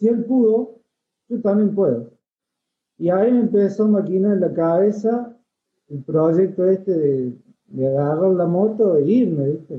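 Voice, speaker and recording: Speaking at a fairly slow pace, a man uses a high pitch and lively intonation, with long, frequent pauses. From Argentina, Córdoba province (Villa María). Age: 30s. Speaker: motorcycle traveler. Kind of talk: casual interview. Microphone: too quiet.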